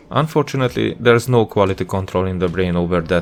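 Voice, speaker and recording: With music in the background, a man with a non-native accent talks at a fairly quick pace and ordinary pitch variation. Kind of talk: educational commentary over gameplay. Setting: home studio microphone.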